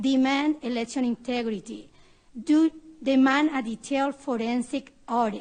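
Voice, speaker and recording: A woman with a Spanish accent speaks at a high pitch and a moderate pace, her intonation fairly even. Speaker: public hearing witness, poll challenger. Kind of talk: testimony. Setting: senate committee hearing. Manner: impassioned.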